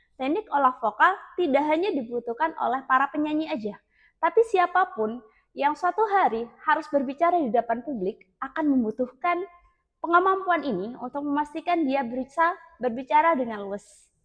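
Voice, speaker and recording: A shrill, high-pitched woman's voice at a moderate pace, with very wide pitch swings. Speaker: public speaking teacher. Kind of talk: tutorial.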